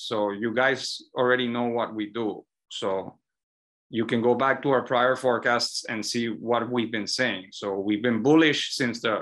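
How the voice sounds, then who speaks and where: Against a quiet background, a man speaks at a moderate pace with a bright, sharp tone and ordinary pitch variation. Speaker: presenter. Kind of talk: webinar Q&A answer.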